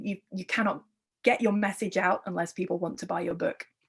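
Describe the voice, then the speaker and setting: A woman speaks with an English accent and a somewhat breathy quality. The background is quiet. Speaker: art historian and curator. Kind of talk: lecture. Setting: virtual talk.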